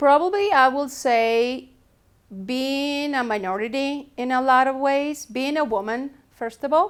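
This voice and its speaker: At a fairly slow pace, a woman talks in a high pitch with ordinary pitch variation. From Latin America. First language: Spanish. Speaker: teacher. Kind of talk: personal testimony.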